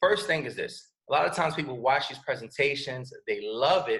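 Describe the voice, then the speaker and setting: A man with a New York accent, talking at a very fast pace. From New York City (Bronx). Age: 30s. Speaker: network marketing presenter. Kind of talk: sales pitch. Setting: video call. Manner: animated.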